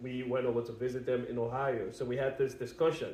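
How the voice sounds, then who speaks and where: Audible room echo surrounds a man of medium pitch talking at a moderate pace. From West Africa. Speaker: podcast co-host. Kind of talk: casual chat.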